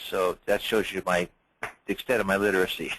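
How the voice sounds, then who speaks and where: A man speaks fairly quickly in a fairly low pitch with monotone, flat intonation. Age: 70s. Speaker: webinar attendee, home business owner. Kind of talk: casual chat. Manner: halting.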